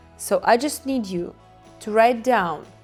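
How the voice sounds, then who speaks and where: Music plays in the background. A woman talks with ordinary pitch variation. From Ukraine. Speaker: hypnotherapist. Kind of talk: casual talk to camera.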